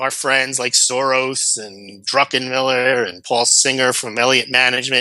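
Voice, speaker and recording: With a normal speaking voice at medium pitch, a man talks at a moderate pace with hardly any pauses, fairly even intonation and big swings in loudness. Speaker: precious metals analyst. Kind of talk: interview.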